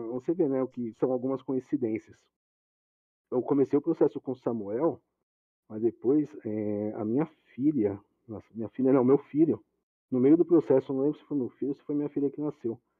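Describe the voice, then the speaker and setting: A man's medium-pitched speech at a moderate pace, with ordinary pitch variation and long, frequent pauses. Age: 30s. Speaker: IT manager. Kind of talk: casual interview chat.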